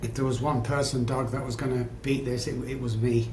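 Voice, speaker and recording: A man speaks with an English accent in a monotone, flat intonation. Room echo is audible. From England. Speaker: addiction psychologist. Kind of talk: podcast interview, personal story.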